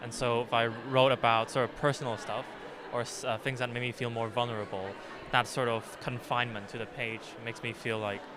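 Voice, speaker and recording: Speech comes fairly quickly in a monotone, flat delivery over noticeable background noise. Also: man, medium pitch for a man. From Hong Kong. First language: Cantonese. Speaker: poet. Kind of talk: interview. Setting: festival. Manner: halting.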